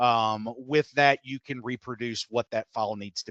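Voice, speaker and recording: With a Texas accent, a man speaks at a medium pitch, the sound dry and close with no echo. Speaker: software implementation consultant. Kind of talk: software tutorial webinar. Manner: fast.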